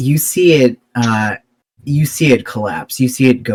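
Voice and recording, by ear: A natural voice reading aloud against a quiet background, its pitch varying in an ordinary way.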